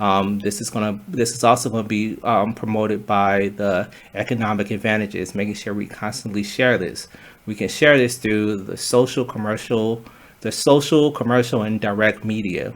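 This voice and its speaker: The speaker is a man with a fairly low pitch. His intonation is fairly even. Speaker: student presenter. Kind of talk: class presentation talk. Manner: fast; halting, with fillers and restarts.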